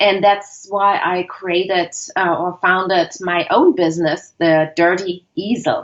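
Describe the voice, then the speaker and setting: A woman at a very slow pace with fairly even intonation and hardly any pauses. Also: medium pitch for a woman. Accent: German. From Germany. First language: German. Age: 50s. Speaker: creativity consultant. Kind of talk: interview.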